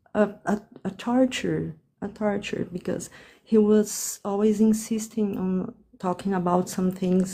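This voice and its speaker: A woman with a Portuguese accent speaks at a fairly slow pace in a medium-pitched, somewhat breathy voice with a dark, mellow tone and fairly even intonation. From Brazil. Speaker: caller on a live dating advice stream. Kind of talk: live call-in conversation. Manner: halting, many fillers and restarts.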